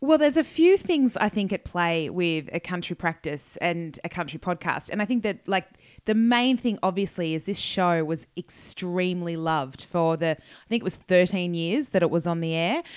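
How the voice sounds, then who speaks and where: A woman speaks with a fairly low pitch. She leaves hardly any pauses. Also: ordinary pitch variation, moderate pace, very clean recording, silent background. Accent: Australian. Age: 40s. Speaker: broadcaster and writer. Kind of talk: interview.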